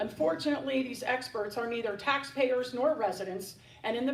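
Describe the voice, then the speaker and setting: A woman speaks at a moderate pace in a fairly high voice with ordinary pitch variation, against noticeable background noise and audible room echo. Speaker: local resident speaking at public comment. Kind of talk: prepared public comment statement. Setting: township council meeting. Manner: formal.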